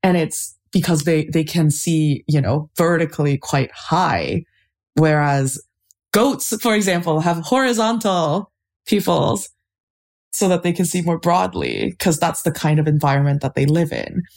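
A woman speaks fairly slowly in a very deep, low voice with vocal fry and lively intonation. Her loudness stays very even on a very clean recording with a silent background. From Canada, Toronto. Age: 20s. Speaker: anthropologist. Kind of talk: casual interview.

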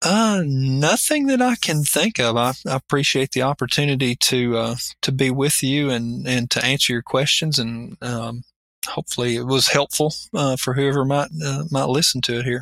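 A man with an Appalachian accent talks at a moderate pace and medium pitch, with ordinary pitch variation and a dry, close sound with no echo. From Appalachia, Kentucky. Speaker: college operations executive. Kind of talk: interview.

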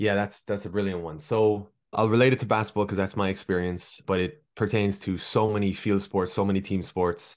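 In an Irish accent, a man speaks with fairly low pitch and fairly even intonation. His pace is fairly quick with hardly any pauses, and the background is quiet. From Ireland. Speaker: performance nutritionist. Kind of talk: casual interview chat.

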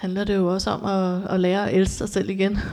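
Her voice is medium-pitched with a dark, mellow tone, and this woman delivers her words in a monotone with flat intonation. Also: very clean recording, silent background. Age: 40s. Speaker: interviewee sharing experience of abuse. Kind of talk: personal testimony. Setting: studio. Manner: halting, many fillers.

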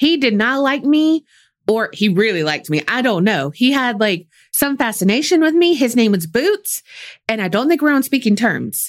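A woman with a Southern US accent speaks at a high pitch with very wide pitch swings. The recording is very clean, with a silent background. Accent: Southern US, country. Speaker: true crime podcast co-host. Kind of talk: casual storytelling chat. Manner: slow drawl.

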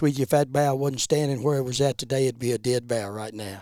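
With an Appalachian accent, a man speaks at medium pitch with ordinary pitch variation and a dark, mellow tone, in a dry, close sound with no echo. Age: 70s. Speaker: bear hunter. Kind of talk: storytelling.

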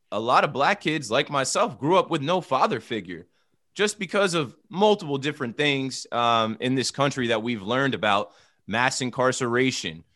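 A man with an American accent speaks at a moderate pace in a bright, sharp tone, his medium pitch swinging very widely over a quiet background. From United States. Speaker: podcast host, guest on sports show. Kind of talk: casual chat.

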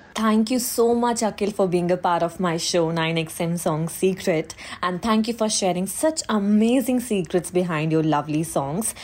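A woman's lively intonation with hardly any pauses, over noticeable background noise. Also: medium pitch for a woman, moderate pace. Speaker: podcast host. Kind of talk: interview intro and conversation.

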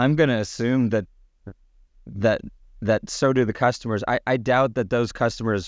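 A man talks at a moderate pace in an unremarkable speaking voice with ordinary pitch variation. The background is quiet. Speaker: podcast co-host. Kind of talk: conversational interview.

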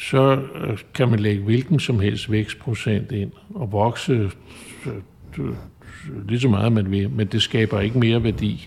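Pausing long and often, a man talks at a fairly slow pace in a fairly low, somewhat breathy voice with ordinary pitch variation. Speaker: chartered accountant and adjunct professor. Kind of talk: interview. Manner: halting.

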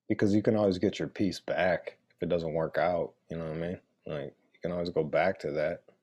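Fairly quick man with a Detroit accent and big swings in loudness. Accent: Detroit American. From Metro Detroit, Michigan. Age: 40s. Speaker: radio personality and author. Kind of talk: casual chat.

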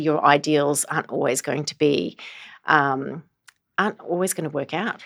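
A woman with a very deep, low pitch is heard in a very clean recording with a silent background. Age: 50s. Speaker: business executive and board advisor. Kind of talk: interview.

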